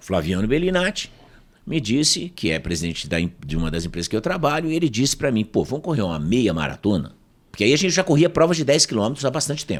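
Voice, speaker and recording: A man talks very fast at medium pitch, with very wide pitch swings and vocal fry. The recording is very clean, with a silent background. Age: 60s. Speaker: professor and speaker. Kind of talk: casual interview storytelling.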